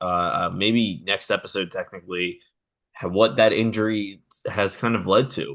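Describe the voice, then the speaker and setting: Against a quiet background, a man speaks at a moderate pace in a fairly low voice with ordinary pitch variation. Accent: American. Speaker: sports podcast host. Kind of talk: casual sports podcast chat. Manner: halting, many fillers and repeats.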